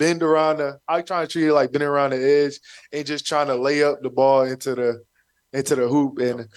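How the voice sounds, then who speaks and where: A man talks fairly quickly at a fairly high pitch with monotone, flat intonation. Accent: American. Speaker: professional football player. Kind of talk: casual radio interview.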